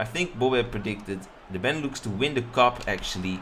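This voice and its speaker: A somewhat breathy man's voice at medium pitch, with a Dutch accent. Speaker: streamer and game commentator. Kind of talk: live commentary. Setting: live stream.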